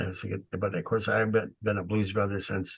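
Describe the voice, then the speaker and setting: A man speaks with an American accent at a fairly slow pace, his pitch fairly low and his intonation flat and monotone. The background is quiet. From Detroit, US Midwest. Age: 70s. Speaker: blues musician. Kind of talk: interview. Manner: halting.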